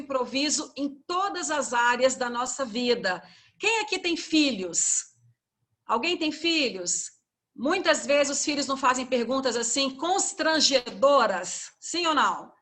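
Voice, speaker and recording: A woman with a high pitch and a bright, sharp tone speaks at a fairly slow pace with lively intonation. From Goiânia, Brazil (Centre-West). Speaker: university teacher leading a training session. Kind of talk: workshop instructions. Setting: video call.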